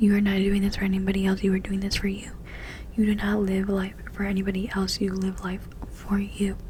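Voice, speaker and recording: A woman whispers over noticeable background noise. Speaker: ASMR creator. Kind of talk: ASMR whisper ramble. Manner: whispered.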